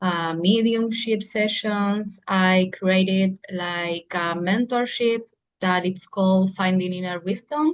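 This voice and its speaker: A woman's medium-pitched voice with a Spanish accent, very slow in pace, with ordinary pitch variation. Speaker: psychic medium. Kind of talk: casual interview chat.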